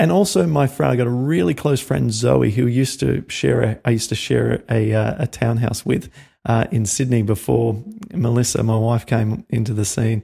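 This man has a dark, mellow, somewhat breathy tone at a medium pitch, with lively intonation. He talks at a moderate pace, and his loudness stays very even. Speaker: podcast host. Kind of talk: interview. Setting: video call. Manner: animated.

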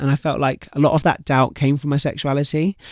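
In a British accent, a man talks at a fairly quick pace and a fairly high pitch. The sound is dry and close with no echo, on a very clean recording with a silent background. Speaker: retired swimmer and campaigner. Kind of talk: casual interview. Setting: studio.

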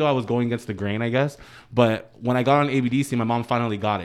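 A man talks in a normal speaking voice at medium pitch. His intonation is fairly even, and the background is quiet. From US East Coast, Dominican family. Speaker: professional dancer. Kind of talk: casual chat.

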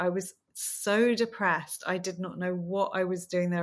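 In a southern English accent, a woman with a bright, sharp tone speaks at a medium pitch and a moderate pace with fairly even intonation, in a very clean recording with a silent background. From southern England, small town outside London. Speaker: fashion stylist. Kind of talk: casual chat. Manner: warm, unassuming.

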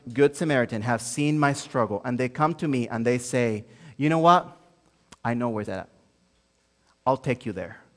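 In a Spanish accent, a man speaks at a medium pitch. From Dominican Republic, Santo Domingo. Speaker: pastor, church planter. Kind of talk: sermon. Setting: church.

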